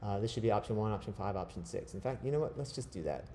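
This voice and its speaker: This man has a dark, mellow tone and a medium pitch. He sounds somewhat breathy, with ordinary pitch variation. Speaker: design teacher. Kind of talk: tutorial.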